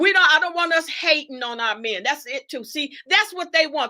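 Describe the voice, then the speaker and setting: A raised, projected voice carries a bright, sharp, animated tone with very wide pitch swings. The pace is moderate. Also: woman. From Detroit, US Midwest. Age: 70s. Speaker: guest speaker on a livestream talk show. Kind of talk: livestream discussion and lecture.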